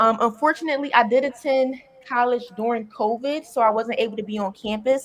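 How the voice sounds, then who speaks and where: A woman with a Philadelphia accent, high in pitch, at a fairly quick pace. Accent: Philadelphia American English. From Philadelphia, US. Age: 20s. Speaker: content creator and comedian. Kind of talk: interview.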